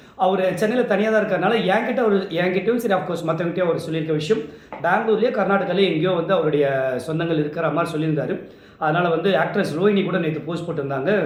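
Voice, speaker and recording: A man with a high voice and ordinary pitch variation talks against noticeable background noise. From Chennai, Tamil Nadu. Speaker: event emcee. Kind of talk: tribute talk to camera. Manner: sombre.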